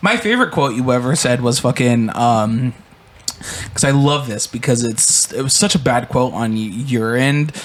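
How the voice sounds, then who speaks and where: A man speaks at medium pitch and a moderate pace with ordinary pitch variation. Noticeable background noise is present. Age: 20s. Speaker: podcast host and producer. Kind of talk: casual chat. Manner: animated.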